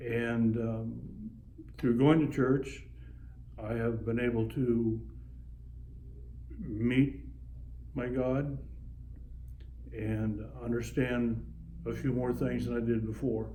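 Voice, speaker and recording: A man with an American accent speaks at a very slow pace, with long, frequent pauses. Audible room echo surrounds his voice. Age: 60s. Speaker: retired sheriff's officer and Vietnam veteran. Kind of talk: interview. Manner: halting, frequent fillers. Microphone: phone camera recording.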